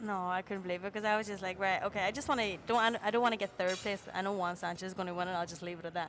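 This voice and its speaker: With music in the background, the speaker rattles along at a very fast pace in an Irish accent, with hardly any pauses. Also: woman, medium pitch for a woman. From Ireland. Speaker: jockey. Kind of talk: interview. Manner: animated.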